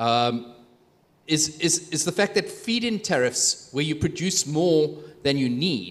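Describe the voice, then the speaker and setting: A man speaks at a fairly high pitch with lively intonation. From South Africa. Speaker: opposition politician. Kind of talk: panel discussion. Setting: stage with audience. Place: hall. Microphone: handheld.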